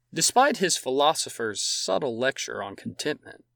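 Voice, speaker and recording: In a very clean recording with a silent background and a dry, close sound with no echo, a man with a fairly high pitch talks at a fairly slow pace, his bright, sharp tone carrying vocal fry, a dramatic delivery and very wide pitch swings. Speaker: podcast host, history narrator. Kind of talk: scripted history narration. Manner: measured, storytelling pace with dramatic, vivid emphasis; formal, clear and steady, with wry amusement at anecdotes.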